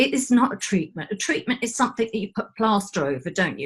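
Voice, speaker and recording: A woman speaks at a fairly high pitch, somewhat breathy. Her pitch swings very widely. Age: 60s. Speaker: energy healing practitioner. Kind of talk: casual chat.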